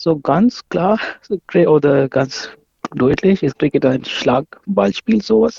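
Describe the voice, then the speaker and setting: A man's fairly high voice, very slow, with very wide pitch swings and very even loudness. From Pakistan. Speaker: amateur cricket player and organiser. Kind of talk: interview explanation. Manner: halting, non-native phrasing.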